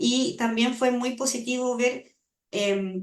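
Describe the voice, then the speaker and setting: A woman's high-pitched voice. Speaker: language acquisition researcher. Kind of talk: seminar Q&A answer.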